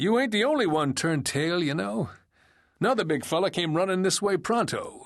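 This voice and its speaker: Cackling man in a put-on character voice, high-pitched with lively intonation at a fairly quick pace against a quiet background. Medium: read story. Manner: folksy, teasing, cackling.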